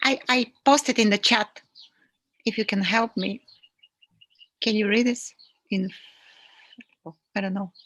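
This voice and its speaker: A woman with a fairly high pitch speaks with fairly even intonation and long, frequent pauses, recorded in a dry, close sound with no echo. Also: fairly slow pace. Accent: non-native. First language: not English. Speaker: interview host. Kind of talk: live online interview, reading out viewer comments. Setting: video call, live stream. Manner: halting.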